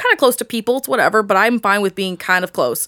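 This voice belongs to a woman. She speaks with a Southern California accent. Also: very clean recording, silent background. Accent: sounds Valley Girl. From Indiana, Newcastle area. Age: 20s. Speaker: podcaster. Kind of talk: casual chat.

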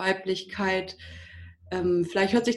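A woman's medium-pitched voice comes across somewhat breathy, with ordinary pitch variation. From Germany, Düsseldorf. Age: 30s. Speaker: wedding and funeral speaker. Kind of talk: casual interview.

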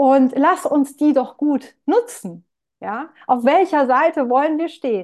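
Lively in intonation, a woman with a high pitch speaks at a very slow pace. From Palatinate, Germany. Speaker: marketing consultant. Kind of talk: interview conversation.

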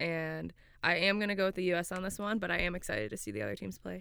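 An American accent marks this woman's very fast speech, captured on a very clean recording with a silent background. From Florida, US. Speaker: professional footballer and podcast co-host. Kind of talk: casual chat. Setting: studio.

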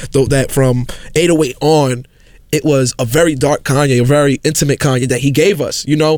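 Speaking with a New York accent, a man with a fairly high pitch keeps a moderate pace, fairly even intonation and very even loudness. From New York City, South Bronx. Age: 20s. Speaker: podcast guest. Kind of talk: casual chat.

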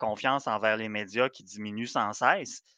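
Bright and sharp in tone, a man speaks at medium pitch and a moderate pace. The sound is dry and close with no echo, over a quiet background. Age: young. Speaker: podcast co-host. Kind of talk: casual chat.

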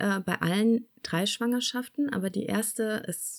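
A woman with an unremarkable speaking voice talks fairly slowly, with ordinary pitch variation. The recording is very clean, with a silent background. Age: 40s. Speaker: mother telling her birth stories. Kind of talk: casual interview.

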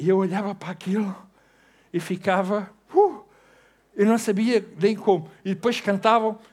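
A man speaks in a European Portuguese accent, his pitch high with ordinary variation. He talks at a fairly slow pace in a very clean recording with a silent background. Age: 60s. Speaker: pastor. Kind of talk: sermon. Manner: animated.

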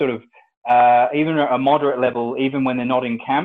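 A man talks at a fairly quick pace in an ordinary speaking voice. His pitch is medium. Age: 30s. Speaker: strength and conditioning coach. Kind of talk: interview.

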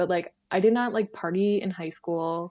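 Speaking at a moderate pace, a woman with an Upper Midwestern accent has a fairly low pitch. Her pitch variation is ordinary, and the background is quiet. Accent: Upper Midwestern American. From northeast Wisconsin. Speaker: podcast guest, publishing worker. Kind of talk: casual chat.

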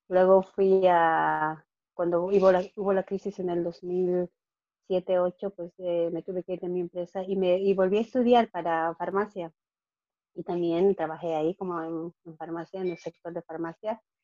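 A woman with a fairly low pitch and a dark, mellow tone speaks at a moderate pace in a monotone, flat intonation, with big swings in loudness. The sound is dry and close with no echo, over a quiet background. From Bolivia. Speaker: financial coach. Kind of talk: interview. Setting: call.

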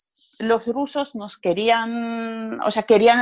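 A woman talks at a very slow pace. The sound is dry and close, with no echo. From Georgia, Sukhumi (Abkhazia). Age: 30s. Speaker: war survivor. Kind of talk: testimony.

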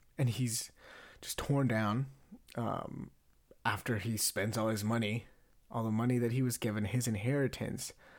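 Speaking in a flat monotone at a moderate pace, a man with a medium pitch takes long, frequent pauses in a very clean recording with a silent background. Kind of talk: casual monologue.

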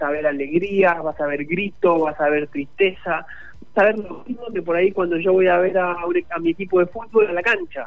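The man here speaks with a high pitch. Ordinary pitch variation marks his delivery. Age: 30s. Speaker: esports league manager. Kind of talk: radio interview. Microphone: weak signal, bad line.

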